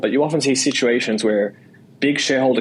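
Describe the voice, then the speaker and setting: A man's very fast delivery at a medium pitch, with ordinary pitch variation. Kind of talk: casual, conversational.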